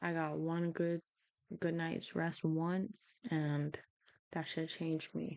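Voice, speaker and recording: Mumbling at a very slow pace, a woman talks in a fairly low pitch with fairly even intonation. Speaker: vlogger. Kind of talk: casual monologue. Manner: frequent pauses.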